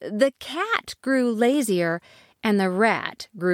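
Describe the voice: The text is read aloud plainly, with a quiet background behind it.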